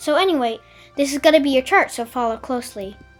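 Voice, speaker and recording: Music plays in the background as a woman talks in a high pitch that varies in an ordinary way. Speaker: conlang tutorial maker. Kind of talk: tutorial narration.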